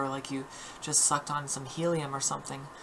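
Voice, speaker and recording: A woman talks at a moderate pace with monotone, flat intonation. Noticeable background noise runs behind her. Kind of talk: voice training tutorial talk to camera. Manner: casual, hesitant with fillers.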